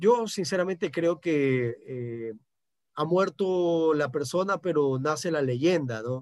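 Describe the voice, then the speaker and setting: Very slow speech with lively intonation is captured on a very clean recording with a silent background. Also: man, fairly high pitch for a man. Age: 40s. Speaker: sports journalist. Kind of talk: radio interview. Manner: halting, many repetitions and fillers.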